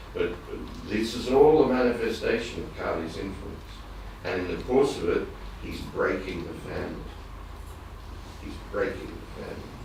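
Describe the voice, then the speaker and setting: A man with an Australian accent at a moderate pace, long, frequent pauses and big swings in loudness, amid noticeable background noise and audible room echo. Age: 60s. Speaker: devotee in audience. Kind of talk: audience comment in religious class discussion. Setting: temple. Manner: halting.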